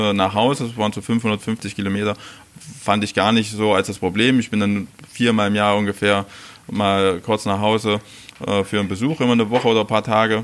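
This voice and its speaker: Amid noticeable background noise, a man with a fairly low pitch talks at a fairly quick pace. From Saxony-Anhalt, Mansfeld area (former East Germany). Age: 40s. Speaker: chef. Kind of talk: interview. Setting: restaurant.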